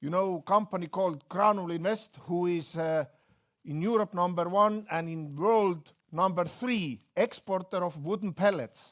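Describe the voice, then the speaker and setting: With an Estonian accent, a man speaks at a high pitch with ordinary pitch variation on a very clean recording with a silent background. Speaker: company executive. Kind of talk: business presentation.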